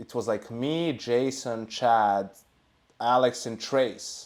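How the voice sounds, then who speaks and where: A man with a non-native accent and fairly even intonation. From Serbia. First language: not English. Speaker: esports analyst. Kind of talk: casual chat.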